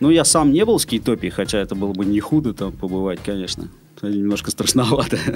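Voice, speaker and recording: A man speaks at a very fast pace with lively intonation over noticeable background noise. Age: 30s. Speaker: longboard shop owner and skate school co-founder. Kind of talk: casual interview.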